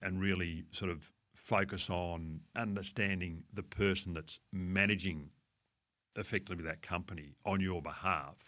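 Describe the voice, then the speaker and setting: In a very clean recording with a silent background, a man with a very deep, low pitch and a bright, sharp tone speaks monotone and flat at a moderate pace. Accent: Australian. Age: 60s. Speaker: fund manager. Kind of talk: podcast interview. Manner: conversational.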